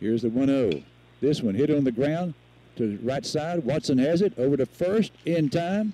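A man speaks at very even loudness, his fairly high pitch carrying lively intonation and a dark, mellow tone. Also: moderate pace. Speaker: radio sports commentator. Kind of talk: live radio play-by-play commentary. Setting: outdoors at a high school baseball field, live broadcast. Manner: informed, conversational asides about field and players.

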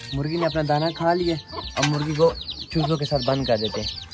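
Over faint background noise, a man talks at a fairly quick pace, fairly high in pitch, with ordinary pitch variation.

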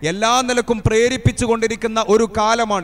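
The man speaks at a high pitch with monotone, flat intonation. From Kerala, India. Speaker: Islamic preacher. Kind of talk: sermon. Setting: madrasa gathering with audience. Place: stage. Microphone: handheld.

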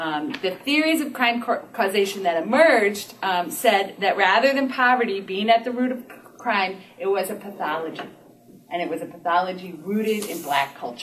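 The speech moves at a moderate pace. Light noise sits in the background. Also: woman. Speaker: lecturer or speaker. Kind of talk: lecture. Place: meeting room. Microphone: camera far.

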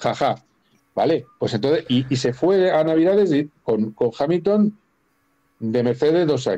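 Lively intonation colors a dark, mellow tone delivered at a fairly slow pace. Long, frequent pauses break up the speech against a quiet background. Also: man. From Spain. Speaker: guest sports journalist. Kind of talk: casual chat. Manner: animated. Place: home room. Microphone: video call.

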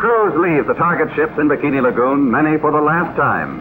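This man speaks at a fairly quick pace with a fairly high pitch and ordinary pitch variation. Noticeable background noise sits behind him. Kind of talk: newsreel narration. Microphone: old recording.

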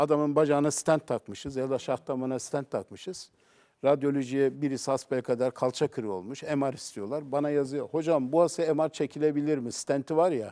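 Recorded very clean with a silent background and a dry, close sound with no echo, a man with a dark, mellow tone and fairly high pitch speaks at a moderate pace. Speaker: cardiovascular surgeon. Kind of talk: TV talk show interview. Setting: TV studio.

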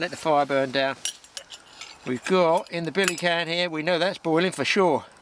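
A man speaks at a moderate pace with a fairly high pitch and ordinary pitch variation. His tone is fairly bright.

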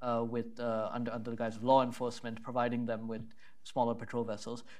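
Over a quiet background, a man talks at a very fast pace. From India. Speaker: policy analyst. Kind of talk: panel presentation; prepared remarks and panel discussion. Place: hall. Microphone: lapel.

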